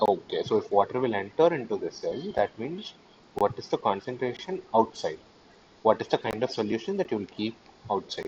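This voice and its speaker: A soft-spoken man at a fairly quick pace. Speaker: teaching assistant. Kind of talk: online tutorial session. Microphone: too quiet.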